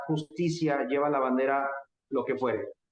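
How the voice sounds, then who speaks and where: A man speaks with a Mexican accent. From Mexico. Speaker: political activist and lecturer. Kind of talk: interview conversation.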